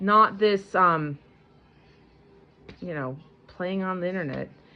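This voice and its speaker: A woman speaks with an American accent at a moderate pace and medium pitch. Her intonation is lively. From US Midwest, Michigan. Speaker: homesteading vlogger. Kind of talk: casual vlog talk to camera. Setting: at home with baby. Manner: halting, many repetitions and restarts.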